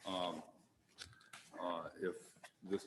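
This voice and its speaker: A man talks in a soft-spoken way. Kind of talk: public meeting presentation. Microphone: mic on but too quiet at first.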